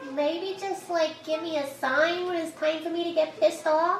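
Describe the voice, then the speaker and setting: A woman's put-on character voice, extremely high in pitch, at a moderate pace with slight echo. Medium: actual play. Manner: cheeky, slangy.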